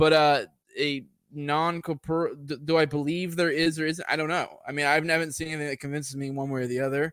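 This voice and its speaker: A man with a plain, everyday voice, fairly high pitch and a fairly quick pace on a very clean recording with a silent background. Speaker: podcaster, atheist guest. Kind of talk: casual philosophical discussion. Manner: casual, profane.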